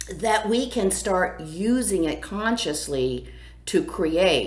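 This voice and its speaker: A woman speaks loudly and at a fairly slow pace. Her pitch swings very widely, and audible room echo surrounds her. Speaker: astrologer and spiritual coach. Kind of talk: weekly astrology forecast, casual monologue. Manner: animated.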